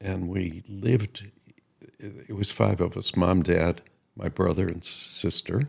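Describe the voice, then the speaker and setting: Speaking at a very slow pace, a man with a very deep, low pitch uses ordinary pitch variation and a bright, sharp tone. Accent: Chicago. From US Midwest, Chicago. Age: 80s+. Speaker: podcast co-host, grandfather. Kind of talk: casual chat.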